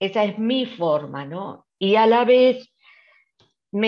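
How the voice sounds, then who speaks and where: Her voice sits fairly high. The speaker is a woman. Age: 70s. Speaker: volunteer. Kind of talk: panel talk. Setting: online livestream.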